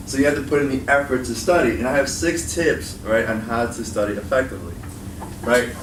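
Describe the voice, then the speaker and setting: With an American accent, a man talks at a very fast pace and ordinary pitch variation, amid noticeable background noise and audible room echo. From Chicago. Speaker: college instructor and education video creator. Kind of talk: student workshop talk. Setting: meeting room with student audience. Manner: casual, filler-heavy.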